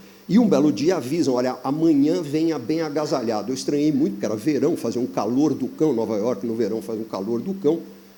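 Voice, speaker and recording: A man with a dark, mellow tone and medium pitch talks at a fairly quick pace with hardly any pauses. His intonation is lively, and the room echo is audible. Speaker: business consultant. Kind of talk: panel discussion.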